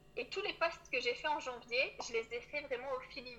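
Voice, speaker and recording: A high-pitched woman speaks at a moderate pace against noticeable background noise. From Auvergne, France. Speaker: coach for early childhood professionals. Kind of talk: interview. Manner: soft-spoken.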